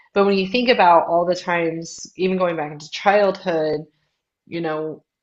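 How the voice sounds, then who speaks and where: Speaking in a plain, everyday voice, a woman with a fairly low pitch keeps a moderate pace and fairly even intonation. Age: 30s. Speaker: podcast co-host. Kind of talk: casual chat.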